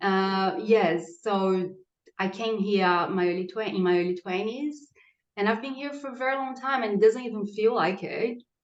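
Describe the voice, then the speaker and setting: A woman speaks with a Portuguese accent at a moderate pace. Her medium-pitched voice shows ordinary pitch variation. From Brazil, Santos (near São Paulo). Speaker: pregnant podcast guest. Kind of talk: casual interview.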